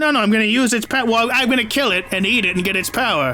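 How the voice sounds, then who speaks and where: At a very fast pace, a speaker puts on a character voice with a fairly high pitch. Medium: actual play. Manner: rambling, paranoid.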